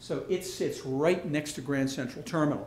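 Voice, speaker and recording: A man's somewhat breathy, fairly high-pitched voice moves at a moderate pace with audible room echo. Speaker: architect. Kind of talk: lecture.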